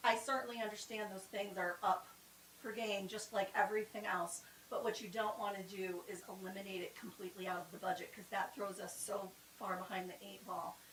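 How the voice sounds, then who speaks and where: A woman's fairly quick speech at medium pitch, with fairly even intonation and big swings in loudness. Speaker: town strategic planning presenter. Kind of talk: public meeting presentation. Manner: fast.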